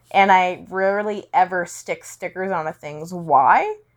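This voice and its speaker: A woman with a Western Canadian accent speaks at a fairly slow pace and medium pitch against a quiet background. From Canada, British Columbia (Langley). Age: 20s. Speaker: podcaster. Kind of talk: solo monologue. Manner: casual, rambling with fillers.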